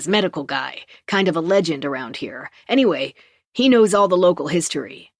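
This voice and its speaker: Growling in a put-on character voice, the speaker goes at a fairly quick pace with a middle pitch. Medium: read story. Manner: casual, plain-spoken.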